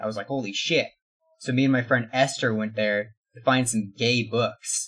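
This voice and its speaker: An ordinary speaking voice from a man, medium in pitch and at a fairly quick pace. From Mexican-American household. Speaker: podcast guest. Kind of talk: casual chat.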